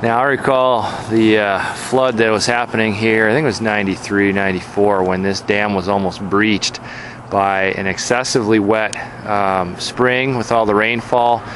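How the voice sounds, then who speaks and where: Over noticeable background noise, a man speaks at a moderate pace with fairly low pitch and fairly even intonation, the sound dry with no echo. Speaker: road trip narrator. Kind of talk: casual travel commentary. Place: open country. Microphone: phone near.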